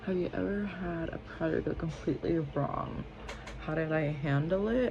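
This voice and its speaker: A woman whispers at a fairly slow pace. Room echo is audible. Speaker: beauty vlogger. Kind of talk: casual chat. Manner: whispering; animated.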